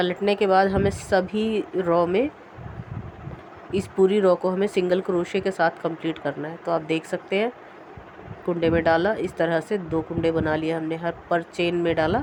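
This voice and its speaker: Over noticeable background noise, a woman speaks at a fairly low pitch. Her pace is fairly slow and her intonation fairly even. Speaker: crochet tutorial maker. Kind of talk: tutorial.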